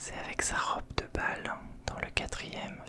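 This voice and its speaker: The voice is whispering. Noticeable background noise is present. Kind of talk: ASMR whispered show-and-tell of collectibles, casual talk to camera. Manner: whispering, relaxing.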